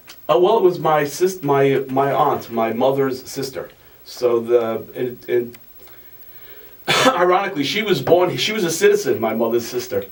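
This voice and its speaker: Over noticeable background noise, a man talks at a moderate pace with lively intonation and a fairly high pitch. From Italy, then Astoria, Queens from age six. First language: Italian. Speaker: author. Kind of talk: interview. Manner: halting, many restarts.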